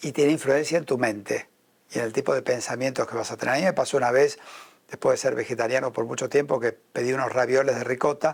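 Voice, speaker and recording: Speaking at a fairly quick pace with an Argentine accent, a man uses a fairly high pitch and ordinary pitch variation. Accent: Argentine Spanish (Rioplatense). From Argentina. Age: 70s. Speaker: spiritual leader and businessman. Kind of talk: interview.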